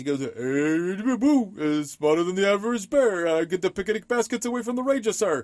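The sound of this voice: A man does a put-on character voice, high-pitched and delivered at a moderate pace. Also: hardly any pauses.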